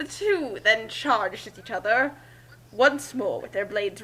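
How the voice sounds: The clip features a natural reading voice.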